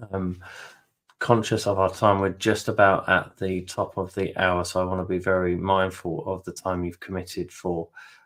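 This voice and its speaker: A man's very deep, low voice with a British accent, monotone and flat, at a moderate pace. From UK. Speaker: webinar host and interviewer. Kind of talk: webinar hosting. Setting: online webinar. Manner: hesitant, many fillers.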